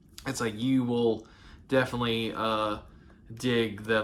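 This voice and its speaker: Someone speaks at a fairly slow pace in a Southern accent. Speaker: movie collector YouTuber. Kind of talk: casual monologue. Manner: halting, many fillers.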